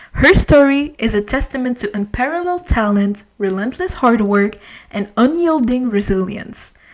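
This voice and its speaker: Here a woman speaks in an ordinary speaking voice. Her pitch is fairly high, her intonation lively and her pace moderate. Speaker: podcast host. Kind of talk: biography narration.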